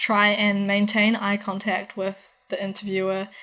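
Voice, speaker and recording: A woman is speaking. She has a New Zealand accent. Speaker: university student vlogger. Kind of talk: advice vlog. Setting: in her room. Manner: fast. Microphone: laptop recording, audio changes throughout.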